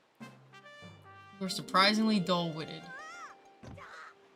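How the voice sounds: Simply a natural reading voice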